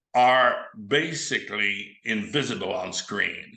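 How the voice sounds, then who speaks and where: Very slow speech from a man, with audible room echo. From Quebec. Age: 70s. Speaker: film director and actor. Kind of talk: interview.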